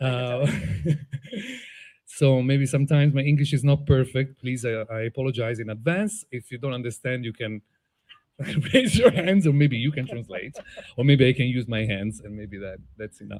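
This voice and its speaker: This man speaks with an Italian accent at a medium pitch and ordinary pitch variation. Long, frequent pauses break up his speech. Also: moderate pace. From Italy, Tuscany (Prato). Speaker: playwright and filmmaker. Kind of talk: onstage interview. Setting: outdoor stage with audience.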